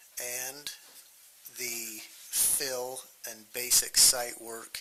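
Against noticeable background noise, a man at medium pitch speaks at a very slow pace in a monotone, flat intonation. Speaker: county council member. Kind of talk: formal motion in public meeting. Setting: county council meeting. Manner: slow, deliberate.

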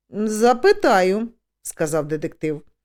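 Lively intonation marks this natural reading voice. The background is quiet.

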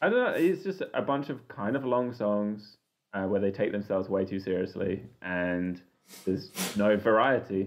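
A man with a plain, everyday voice talks at a moderate pace, his pitch fairly low with ordinary pitch variation. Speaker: podcast co-host. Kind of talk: casual chat.

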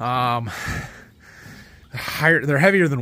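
A man talks at a moderate pace with lively intonation. The sound is dry, with no echo. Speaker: farmer vlogger. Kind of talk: casual vlog chat. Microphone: phone near.

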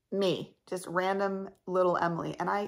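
At a moderate pace, a woman with fairly low pitch speaks in a creaky voice full of vocal fry, her intonation fairly even.

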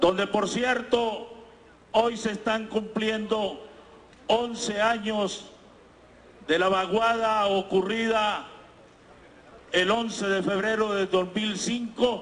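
Very slowly, with long, frequent pauses, a man talks in a monotone, flat intonation at a high pitch. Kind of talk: parliamentary speech. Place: hall. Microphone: handheld.

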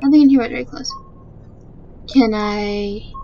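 A woman is talking with ordinary pitch variation. Noticeable noise sits in the background. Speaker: let's play gamer. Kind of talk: casual gameplay commentary.

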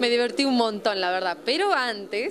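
A woman talks at a moderate pace, her intonation lively.

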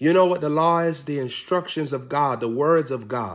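Ordinary pitch variation against a quiet background. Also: man. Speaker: preacher. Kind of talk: sermon. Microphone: phone near.

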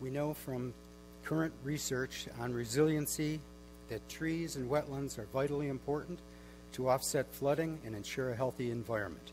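Music plays behind a man who keeps a moderate pace. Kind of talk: prepared public comment presentation. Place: hall.

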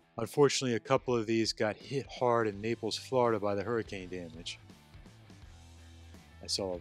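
Faint music plays in the background behind a man's voice. He speaks at a fairly quick pace, and the sound is dry with no echo. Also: ordinary pitch variation. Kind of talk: casual walk-through commentary. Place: hall. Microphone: phone near.

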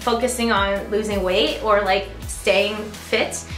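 Clear music plays in the background and audible room echo is present as a woman speaks with fairly even intonation. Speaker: vlogger. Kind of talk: casual vlog chat. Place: gym. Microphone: phone near.

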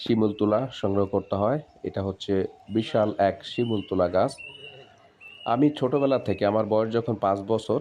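With a dark, mellow tone, a man speaks at a fairly low pitch, with ordinary pitch variation and very even loudness. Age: 40s. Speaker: farming video blogger. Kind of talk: vlog narration.

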